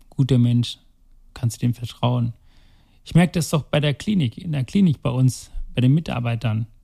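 A man's dark, mellow, somewhat breathy voice at medium pitch and a moderate pace, with ordinary pitch variation, long, frequent pauses and a dry, close sound with no echo. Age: 40s. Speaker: heart surgeon. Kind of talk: casual interview. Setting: recording in the city with helicopters and sirens outside.

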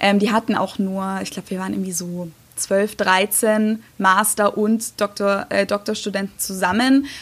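A woman speaks at a medium pitch and a moderate pace with fairly even intonation. It is an ordinary speaking voice. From Germany. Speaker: YouTuber. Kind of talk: casual interview.

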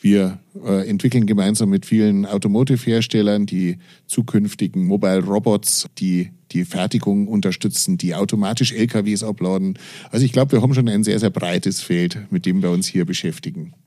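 A man speaks in a fairly low pitch at a moderate pace. His tone is dark and mellow. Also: ordinary pitch variation. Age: 40s. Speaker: engineering professor. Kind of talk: interview. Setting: university office.

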